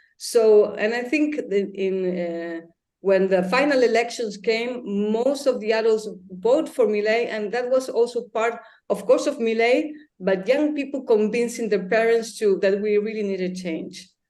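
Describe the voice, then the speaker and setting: A woman with a Spanish accent speaks at a fairly slow pace in a fairly high pitch. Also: ordinary pitch variation. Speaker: intellectual activist. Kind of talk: interview.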